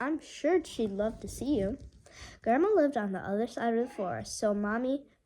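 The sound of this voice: The clip features an unforced reading voice.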